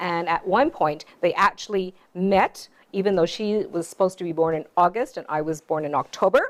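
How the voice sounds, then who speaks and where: Speaking at a fairly slow pace, a woman uses a plain, everyday voice. She has a medium pitch and a Canadian accent. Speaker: author. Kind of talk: storytelling talk.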